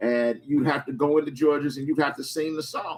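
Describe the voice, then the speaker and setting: A man at a moderate pace. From Chicago. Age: 60s. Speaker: radio talk show host. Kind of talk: call-in talk radio. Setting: radio studio.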